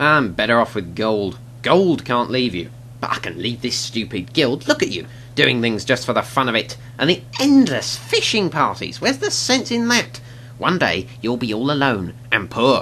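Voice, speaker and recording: Delivered at a moderate pace, a put-on character voice sits at a low-to-middle pitch over clear background noise. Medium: machinima.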